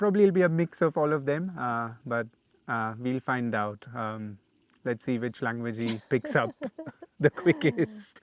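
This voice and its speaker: A man with an Indian accent speaks at a moderate pace in a medium pitch against a quiet background. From India, Pune (Maharashtra). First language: Malayalam. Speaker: travel vlogger. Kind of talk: casual chat. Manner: hesitant, many fillers.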